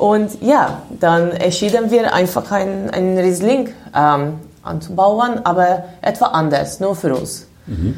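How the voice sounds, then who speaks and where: With a Hungarian accent and a medium pitch, a woman speaks at a very slow pace with lively intonation amid audible room echo. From Hungary, Budapest. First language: Hungarian (speaking German). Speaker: winemaker. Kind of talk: interview. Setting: wine cellar.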